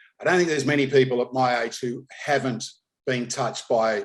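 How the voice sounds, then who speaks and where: A man of medium pitch talks at a moderate pace, his intonation fairly even. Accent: Australian. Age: 60s. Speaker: racing podcast host. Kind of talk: interview.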